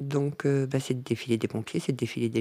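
A woman is talking. Her voice has a dark, mellow tone. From northern France. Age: 50s. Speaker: family caregiver and care assistant. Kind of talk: personal testimony.

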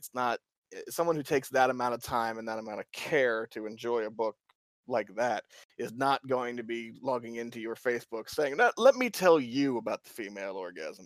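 A man has an unremarkable speaking voice, medium in pitch with ordinary variation, at a moderate pace and with big swings in loudness. The recording is very clean with a silent background, and the sound is dry and close with no echo. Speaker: guest, romance book reviewer. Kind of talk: casual chat, podcast interview.

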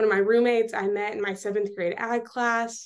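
A woman with a Texan accent talks at a fairly quick pace in a monotone, flat intonation. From West Texas. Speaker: student leader. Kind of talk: interview.

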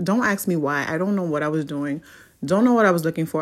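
On a very clean recording with a silent background, a woman with an unremarkable speaking voice talks at a fairly low pitch with ordinary variation. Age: 30s. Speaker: podcast host. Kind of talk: casual monologue.

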